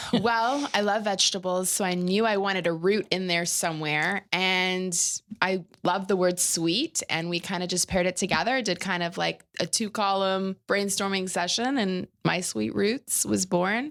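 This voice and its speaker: A woman's medium-pitched voice at a moderate pace with ordinary pitch variation, on a very clean recording with a silent background. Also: hardly any pauses. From Canada, Ottawa (Eastern Ontario). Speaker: personal chef and caterer. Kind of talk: casual interview chat.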